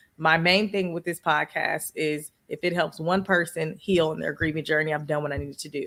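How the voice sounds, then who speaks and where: A woman's very deep, low voice at a fairly quick pace, animated in tone with hardly any pauses, on a very clean recording with a silent background. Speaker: podcaster and podcast coach. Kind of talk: interview.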